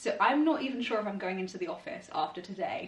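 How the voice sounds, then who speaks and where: In a British accent, a woman talks at a fairly high pitch with lively intonation, amid noticeable background noise and audible room echo. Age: 20s. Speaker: vlogger and actuary. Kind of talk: vlog. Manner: fast.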